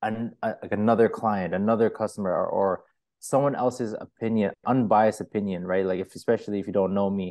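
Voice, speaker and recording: A man with a Toronto accent speaks at a fairly low pitch. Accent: Canadian English, Toronto area. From Markham, Ontario, Canada. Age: 20s. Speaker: hair studio owner. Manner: casual, slangy, with filler words.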